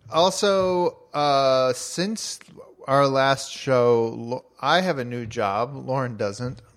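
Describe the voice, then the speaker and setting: A man at a very slow pace with lively intonation, over noticeable background noise. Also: medium pitch for a man. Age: 30s. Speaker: newsletter publisher and podcast co-host. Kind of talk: casual chat. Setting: home recording.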